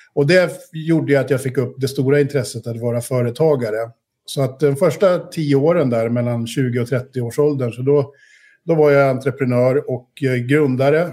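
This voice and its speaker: This man has a medium pitch and a dark, mellow tone. He keeps a moderate pace with fairly even intonation. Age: 50s. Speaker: investor, entrepreneur. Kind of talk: interview.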